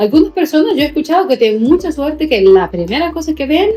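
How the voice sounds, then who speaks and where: Woman with a Salvadoran accent, very wide pitch swings, and music in the background. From El Salvador. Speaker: teacher. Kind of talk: interview answer.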